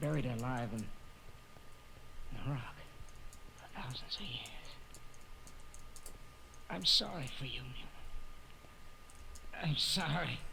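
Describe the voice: In a put-on character voice, a man speaks slowly with long, frequent pauses, a bright, sharp tone, vocal fry and lively intonation. Audible room echo surrounds him. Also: medium pitch for a man.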